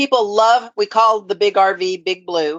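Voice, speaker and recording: A normal speaking voice from a woman, moderately paced and medium in pitch. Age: 60s. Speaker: nonprofit founder and recovery advocate. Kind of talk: interview.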